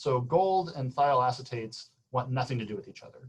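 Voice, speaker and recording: This man's voice sits at a medium pitch and is somewhat breathy. His pitch variation is ordinary. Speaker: physics professor. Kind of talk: lecture. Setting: video call. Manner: fast.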